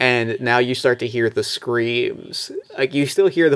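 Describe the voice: Someone plainly reads a text aloud.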